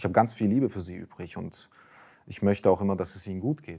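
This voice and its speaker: Against a quiet background, a man with a dark, mellow tone talks at a moderate pace. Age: young. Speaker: convert sharing faith story; interview guest. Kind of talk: testimony. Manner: halting with many fillers. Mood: calm, reflective, personal. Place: studio. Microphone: lapel.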